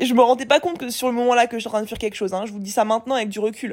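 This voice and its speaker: A woman speaks in a high pitch on a very clean recording with a silent background. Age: 20s. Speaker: business coach and podcaster. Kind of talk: solo monologue, unscripted personal reflection. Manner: casual, slangy, filler-heavy.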